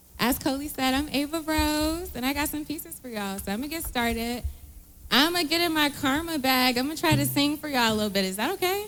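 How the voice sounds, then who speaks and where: A woman's high voice at a very fast pace, lively in intonation, with audible room echo. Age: young. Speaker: spoken word poet. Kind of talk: live performance banter. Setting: stage with audience.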